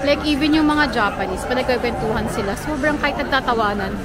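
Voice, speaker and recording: A woman talks at a very fast pace in a high pitch. Crowd noise fills the background, and the room echo is audible. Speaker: travel vlogger. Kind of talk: casual vlog narration. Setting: outdoors on a busy street. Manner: soft-spoken, speaks quietly in public. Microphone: camera mic, may be too quiet.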